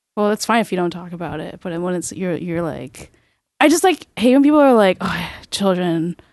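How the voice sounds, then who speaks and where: A woman with an ordinary speaking voice, a medium pitch, lively intonation and big swings in loudness at a fairly quick pace against a quiet background. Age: 20s. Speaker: poet and comedian. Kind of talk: casual chat.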